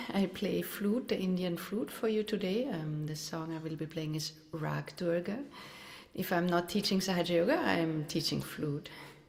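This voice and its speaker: A woman speaks at a moderate pace with a fairly low pitch. Noticeable noise sits in the background. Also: ordinary pitch variation. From Austria. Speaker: meditation teacher and flutist. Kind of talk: self-introduction. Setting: video call.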